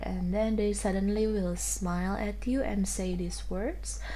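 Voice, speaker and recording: A woman speaks very slowly with a non-native accent. Room echo can be heard. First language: not English. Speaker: tarot reader. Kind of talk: tarot reading. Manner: halting.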